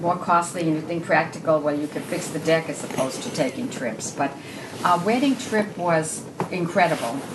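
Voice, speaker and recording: The intonation is lively and the pace moderate. Noticeable background noise and audible room echo accompany the voice. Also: woman. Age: 70s. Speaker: widow. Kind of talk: casual chat. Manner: halting.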